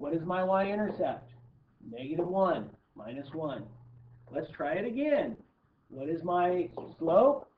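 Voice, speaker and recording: The speech moves at a fairly slow pace, broken by long, frequent pauses. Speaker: math teacher. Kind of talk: classroom test review.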